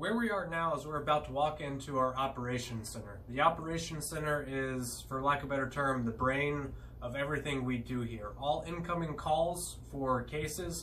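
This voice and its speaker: Over light background noise, a man talks at a moderate pace with hardly any pauses and ordinary pitch variation. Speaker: military aviator tour guide. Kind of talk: guided tour explanation. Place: office. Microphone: phone near.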